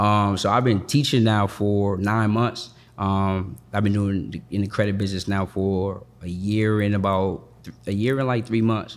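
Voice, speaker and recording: An unremarkable speaking voice: a man with an American accent, fairly low pitch and fairly even intonation, at a moderate pace with hardly any pauses. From Boston, Massachusetts. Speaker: credit and business funding coach. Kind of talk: casual interview.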